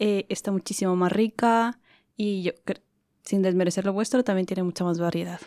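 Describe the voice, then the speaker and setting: A woman speaks at a moderate pace in a medium pitch with a dark, mellow tone and fairly even intonation, leaving long, frequent pauses. The sound is dry and close with no echo, a very clean recording with a silent background. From Ecuador. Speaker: podcast co-host. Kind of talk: casual chat.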